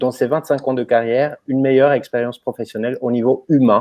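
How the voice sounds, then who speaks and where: This man has a fairly high pitch and a slight non-native accent. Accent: slight foreign. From Romania, then Germany from age 14. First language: Romanian (speaking French). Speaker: company co-founder, presenter. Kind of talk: webinar presentation. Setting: online webinar.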